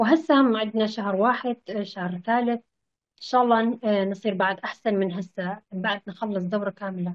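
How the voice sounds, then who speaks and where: A woman's medium-pitched voice with a Kurdish accent and ordinary pitch variation. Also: moderate pace. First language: Kurdish (speaking Arabic). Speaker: language student. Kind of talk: interview. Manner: halting.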